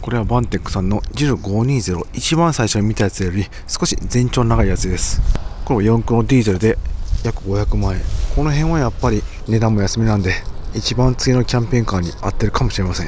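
The speaker goes at a very fast pace with ordinary pitch variation. The sound is dry with no echo, with light background noise. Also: man. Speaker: camper van vlogger. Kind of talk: casual vlog chat. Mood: excited, upbeat. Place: street. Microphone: phone near.

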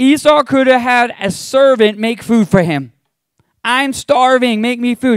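A man speaks at a moderate pace in an extremely high voice with a warm tone and ordinary pitch variation, the sound dry with no echo and the background quiet. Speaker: pastor. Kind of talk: sermon, Bible teaching with a closing prayer. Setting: church with a live congregation. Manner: warm, earnest, conversational preacher; fervent and pleading in the prayer at the close. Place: church. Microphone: handheld.

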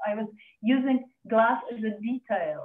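This woman speaks with a Czech accent in a monotone, flat intonation. There's audible room echo against a quiet background. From Czech Republic. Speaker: glass artist. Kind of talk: online artist presentation. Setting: video call. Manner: halting. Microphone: video call.

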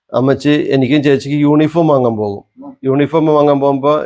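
Fairly even intonation and fairly high pitch in a man's plain, everyday voice. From Kerala, Wayanad. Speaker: travel vlogger. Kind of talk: casual chat.

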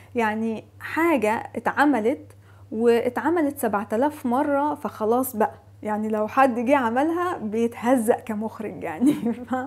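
A woman with an Egyptian accent speaks at a very slow pace. Her pitch is fairly high, with ordinary pitch variation. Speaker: video blogger. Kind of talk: casual monologue.

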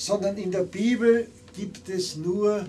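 This man talks at a very slow pace with a high pitch. His pitch varies in an ordinary way, and there is light background noise. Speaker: theologian and preacher. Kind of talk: sermon to a live audience. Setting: live event in a bar. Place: bar.

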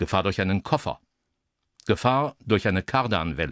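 Recorded dry and close with no echo on a very clean, silent background, the voice moves at a fairly slow pace with very wide pitch swings. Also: man. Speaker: former radio broadcaster. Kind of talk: radio traffic-warning style narration for an audio art piece. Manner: measured, neutral, professional.

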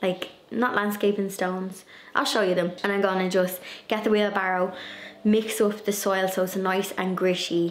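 With light background noise and audible room echo, a woman speaks at a moderate pace. Her intonation is monotone and flat, and her loudness stays very even. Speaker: garden vlogger. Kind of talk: casual vlog chat. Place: home room. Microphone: phone near.

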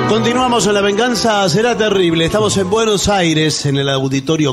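A man at a moderate pace with lively intonation over faint background music. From Argentina. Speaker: radio co-host. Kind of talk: live comedy radio show. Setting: theatre stage with audience. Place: stage.

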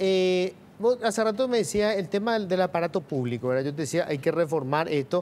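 Over light background noise, a man with a high pitch talks at a fairly quick pace, his pitch swinging very widely. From Paraguay. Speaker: TV news host. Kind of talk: TV interview. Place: studio. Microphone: lapel.

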